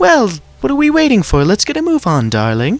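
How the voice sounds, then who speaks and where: Putting on a character voice, a man speaks high for a man at a fairly quick pace. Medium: read story. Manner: posh, affected.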